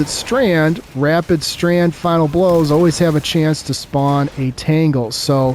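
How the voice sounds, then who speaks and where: Against noticeable background noise, a man talks at a fairly slow pace in a fairly high pitch with fairly even intonation. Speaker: gaming content creator. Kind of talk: gameplay commentary, casual talk to viewers.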